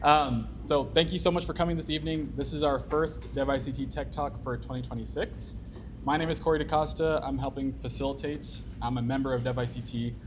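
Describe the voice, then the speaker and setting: Music plays in the background as a man talks at a fairly quick pace, with audible room echo. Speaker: meetup organizer. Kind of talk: event introduction. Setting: stage with audience. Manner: monotone.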